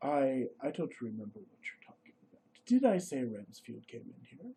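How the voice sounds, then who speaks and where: Using a put-on character voice at a fairly high pitch, a man talks at a moderate pace with very wide pitch swings. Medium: actual play. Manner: fervent, bitter.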